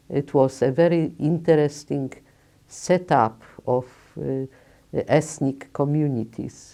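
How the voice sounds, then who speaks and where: This woman has a very deep, low pitch and a dark, mellow tone, with a Polish accent. She talks at a very slow pace with long, frequent pauses and fairly even intonation. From Lodz, Poland. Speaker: Holocaust survivor. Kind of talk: testimony interview.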